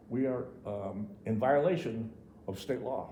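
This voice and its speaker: Audible room echo surrounds a voice with lively intonation. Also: man. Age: 70s. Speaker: local developer and tradesman. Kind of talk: public comment at town meeting. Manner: halting, many repetitions.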